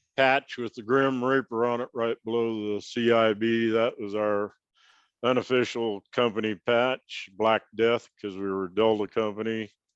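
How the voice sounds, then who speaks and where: A man with an American accent at medium pitch, fairly slow pace and monotone, flat intonation. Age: 70s. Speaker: Vietnam war veteran, former infantry sniper. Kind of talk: interview answer.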